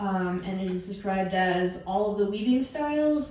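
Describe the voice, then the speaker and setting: Heard through audible room echo and noticeable background noise, a woman speaks at a medium pitch. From northern New Mexico, Chimayó. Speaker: master weaver. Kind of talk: lecture.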